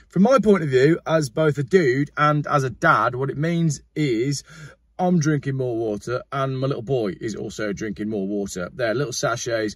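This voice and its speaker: A man speaks at a moderate pace in a somewhat breathy voice. The sound is dry with no echo against a quiet background. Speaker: car vlogger. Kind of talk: casual sponsor read vlog chat. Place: car. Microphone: phone near.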